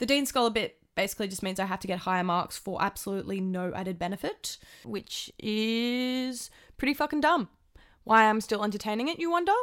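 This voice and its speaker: A woman with an Australian accent, lively intonation and a fairly quick pace, in a very clean recording with a silent background. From Australia, Tamworth, New South Wales. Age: 20s. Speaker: podcast host, university student. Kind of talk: casual monologue.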